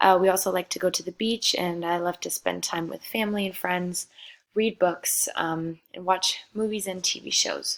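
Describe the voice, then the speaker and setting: A woman at a medium pitch and moderate pace, monotone and flat in intonation, with big swings in loudness. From Germany (Frankfurt). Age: 20s. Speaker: student. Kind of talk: self-introduction.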